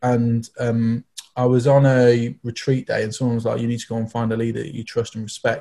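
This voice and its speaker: A man's dark, mellow, somewhat breathy voice at medium pitch, flat and monotone, fairly quick, on a very clean recording with a silent background. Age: 30s. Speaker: youth church team member. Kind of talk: casual chat.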